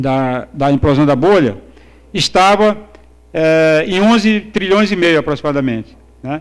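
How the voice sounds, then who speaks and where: A man's fairly high voice, lively in intonation, at a fairly slow pace. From Brazil, Northeast. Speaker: economics professor. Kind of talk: conference lecture. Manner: halting, many fillers and repetitions.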